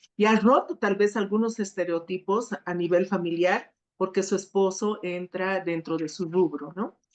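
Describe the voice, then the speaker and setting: A woman at a fairly slow pace, fairly even intonation and hardly any pauses. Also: medium pitch for a woman. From Sucre, Bolivia. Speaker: gender specialist, panelist. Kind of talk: panel discussion. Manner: hesitant, many fillers.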